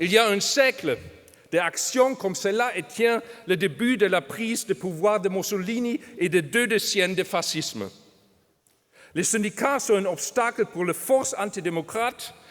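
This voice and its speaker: A German accent at a fairly slow pace, with ordinary pitch variation. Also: man, high pitch for a man. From Germany. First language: German (speaking French). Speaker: trade union official. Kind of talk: conference speech. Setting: stage with audience. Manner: halting.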